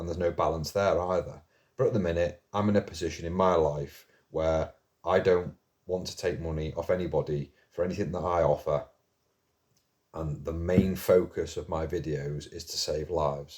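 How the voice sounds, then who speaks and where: At a moderate pace, a man talks in a very deep, low voice that is somewhat breathy, with fairly even intonation. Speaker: mental health video blogger. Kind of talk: casual monologue to camera. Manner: slightly slurred.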